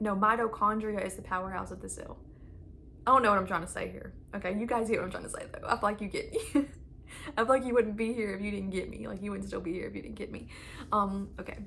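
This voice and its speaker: Excited and animated, a woman speaks at a very fast pace amid audible room echo. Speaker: channeled message and tarot reader. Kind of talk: spiritual channeling reading, casual talk to viewers. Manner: excited, animated, many fillers; fast, trails off and restarts.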